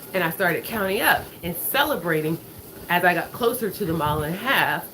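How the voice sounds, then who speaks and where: A woman's medium-pitched voice, fairly quick and with lively intonation, over noticeable background noise. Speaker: finance and lifestyle vlogger. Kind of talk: casual motivational talk while walking. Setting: on a walking pad at home. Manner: fast.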